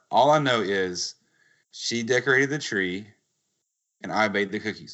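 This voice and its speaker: Lively intonation marks a man's unremarkable speaking voice, set at a fairly low pitch. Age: 30s. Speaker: podcast host. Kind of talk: casual chat.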